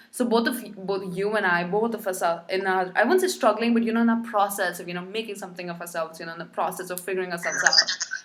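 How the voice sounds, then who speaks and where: Against noticeable background noise, a woman talks at a very fast pace and medium pitch, with ordinary pitch variation. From India. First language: not English. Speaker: podcast host. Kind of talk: casual interview chat.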